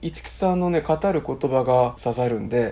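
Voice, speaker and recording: A man at a moderate pace. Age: 60s. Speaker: copywriting school teacher and podcast host. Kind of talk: book review chat.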